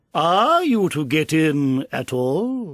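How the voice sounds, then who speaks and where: Using a put-on character voice at a fairly high pitch, a man is heard on a very clean recording with a silent background. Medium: read story. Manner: flat, unhurried, indifferent.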